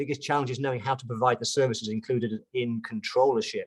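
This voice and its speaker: A man with a British accent, fairly quick pace and lively intonation. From UK. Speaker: chartered accountant and pricing consultant. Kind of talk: webinar presentation. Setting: online webinar. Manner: casual, hesitant with fillers.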